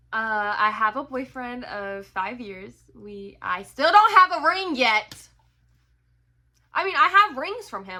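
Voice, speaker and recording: An animated woman with an American accent speaks fairly slowly in a high, bright, sharp voice, her pitch swinging very widely and her loudness rising and falling sharply. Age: 20s. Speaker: book vlogger. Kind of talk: casual chat.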